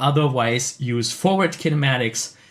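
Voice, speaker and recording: On a very clean recording with a silent background, a man speaks at a moderate pace. His voice is somewhat breathy and fairly high in pitch, with ordinary pitch variation. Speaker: animation mentor. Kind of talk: live stream critique. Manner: hesitant fillers.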